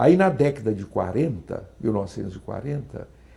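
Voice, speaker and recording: A man's dark, mellow voice with vocal fry and very wide pitch swings. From Brazil, Goiás (Niquelândia). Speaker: politician and professor. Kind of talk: interview.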